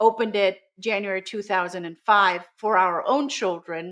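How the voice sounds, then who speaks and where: A woman with a German accent, at a fairly slow pace, with ordinary pitch variation. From Germany, Swabia (Baden-Württemberg). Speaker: school founder and communication trainer. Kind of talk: interview.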